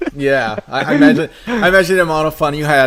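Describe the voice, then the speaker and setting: A man is speaking. He has a Portuguese accent. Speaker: podcast host and esports caster. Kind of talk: interview.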